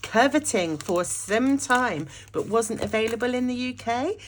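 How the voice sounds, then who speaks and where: Fairly high-pitched woman at a fairly slow pace, with noticeable background noise. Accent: British. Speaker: journaling YouTuber. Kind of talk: casual unboxing vlog. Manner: animated.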